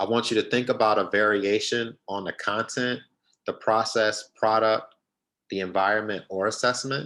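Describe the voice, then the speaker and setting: Very clean recording with a silent background, a man's bright, sharp tone, ordinary pitch variation and moderate pace. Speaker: teacher trainer. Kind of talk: professional development workshop.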